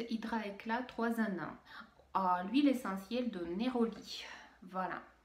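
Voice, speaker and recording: In audible room echo, a woman talks very slowly at a fairly high pitch with ordinary pitch variation. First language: Russian (speaking French). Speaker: beauty youtuber. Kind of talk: product unboxing review. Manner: halting, many hesitations.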